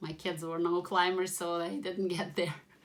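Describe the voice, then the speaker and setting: A woman speaks with vocal fry. Her pitch sits fairly low. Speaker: mom mentor, home organizing vlogger. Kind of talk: casual talk to camera.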